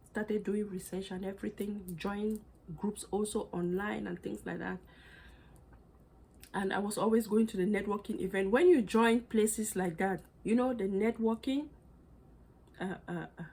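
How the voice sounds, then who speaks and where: A woman speaks at a moderate pace with a non-native accent, her medium-pitched voice dark, mellow and somewhat breathy. She takes long, frequent pauses, and her pitch varies in an ordinary way. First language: not English. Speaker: fashion accessory designer and small business owner. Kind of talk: personal story monologue. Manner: casual, many fillers and restarts.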